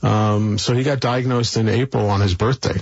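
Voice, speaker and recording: Noticeable background noise sits behind a man with an American accent and a fairly low pitch. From New York City (Brooklyn). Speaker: philanthropist. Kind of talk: interview conversation.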